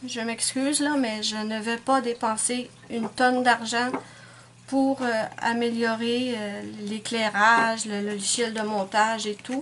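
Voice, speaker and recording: In a Quebec accent, a woman speaks very slowly with a fairly high pitch and monotone, flat intonation. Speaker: nail art YouTuber. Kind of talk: casual vlog monologue. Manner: hesitant, many fillers.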